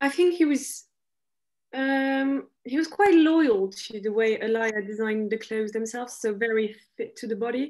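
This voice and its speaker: Speaking at a moderate pace with a French accent, the voice shows ordinary pitch variation. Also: woman. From France. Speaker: fashion graduate, panellist; panellist. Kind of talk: panel discussion. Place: home room. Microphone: video call.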